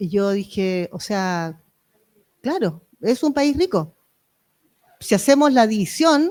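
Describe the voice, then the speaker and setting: A woman's animated, fairly high voice with very wide pitch swings and long, frequent pauses. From Chile, Valparaíso region. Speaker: member of parliament. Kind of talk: panel discussion. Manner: fast.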